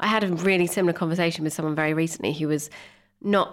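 In a British accent, a woman talks very fast in a very deep, low voice with flat, monotone intonation. The recording is very clean, with a silent background. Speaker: podcast co-host. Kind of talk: casual interview with scripted reading.

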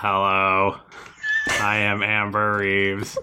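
Putting on a character voice, a man talks at a very slow pace in a fairly low pitch over light background noise.

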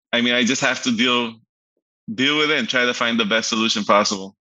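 Speaking at a fairly quick pace yet with long, frequent pauses, a man uses a medium pitch, a bright, sharp tone, fairly even intonation and very even loudness over a quiet background. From Aruba. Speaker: vacation rental business owner. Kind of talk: interview.

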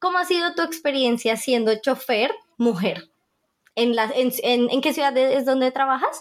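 Her intonation lively and her loudness very even, a woman speaks at a moderate pace in a high pitch. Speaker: podcast host. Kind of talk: casual interview.

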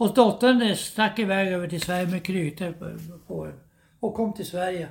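A high-pitched male voice with ordinary pitch variation. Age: 80s+. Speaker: podcast host's elderly father recounting family history. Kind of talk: casual interview. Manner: halting, repeating words.

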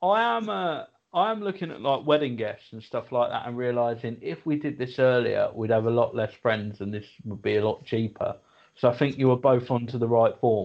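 This man has an ordinary speaking voice, a medium pitch, and ordinary pitch variation, and he talks at a fairly quick pace. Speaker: comedian and podcast co-host. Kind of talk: casual comedy chat.

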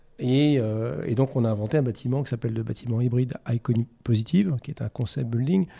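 A man with a dark, mellow tone and a somewhat breathy voice speaks at a medium pitch and a fairly quick pace, with ordinary pitch variation, on a very clean recording with a silent background. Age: 50s. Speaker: sustainability executive in construction. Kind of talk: interview. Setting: studio.

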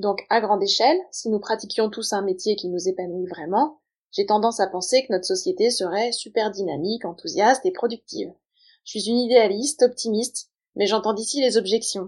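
A woman talks at a moderate pace in a normal speaking voice, fairly high in pitch with lively intonation. The background is quiet. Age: 40s. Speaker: podcast host. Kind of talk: scripted solo monologue.

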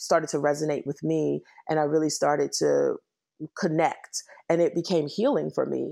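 A woman talks at a moderate pace in a Washington DC accent. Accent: Washington D.C. accent, still noticeable. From Washington, D.C. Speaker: nonprofit CEO. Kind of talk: interview, casual conversation.

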